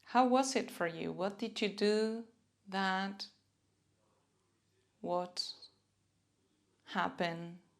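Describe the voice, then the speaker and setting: Speaking very slowly with long, frequent pauses, a woman with a Spanish accent has a gentle, warm tone at medium pitch. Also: ordinary pitch variation. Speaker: self-compassion and mindfulness teacher. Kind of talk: guided self-compassion practice.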